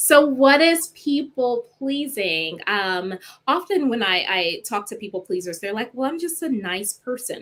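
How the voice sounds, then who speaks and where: A woman speaks at a fairly slow pace in a high voice, with hardly any pauses and very wide pitch swings. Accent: Southern US. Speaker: clinical psychologist. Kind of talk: live stream talk.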